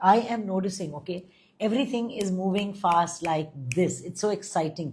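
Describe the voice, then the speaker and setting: The recording is very clean, with a silent background. A woman of medium pitch speaks fairly slowly, somewhat breathy, with lively intonation. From India, Delhi. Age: 50s. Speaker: spiritual guide and astrologer. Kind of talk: live stream chat with viewers.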